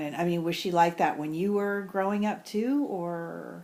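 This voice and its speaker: This woman has an ordinary speaking voice, with a fairly low pitch and ordinary pitch variation. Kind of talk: casual family interview.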